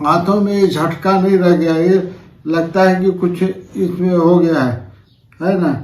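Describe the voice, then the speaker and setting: A high-pitched man's voice at a very slow pace, monotone and flat in intonation, with very even loudness. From Ambikapur, Chhattisgarh, India. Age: 50s. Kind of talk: testimonial to camera.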